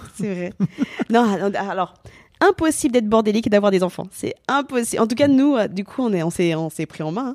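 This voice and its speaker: A woman's fairly high, animated voice with lively intonation at a moderate pace, in a very clean recording with a silent background. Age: 30s. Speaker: comedian. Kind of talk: casual chat.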